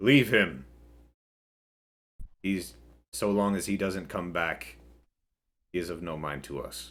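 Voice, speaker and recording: A man uses a put-on character voice that is raspy with a very deep, low pitch. He goes at a fairly slow pace with long, frequent pauses. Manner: commanding, dismissive.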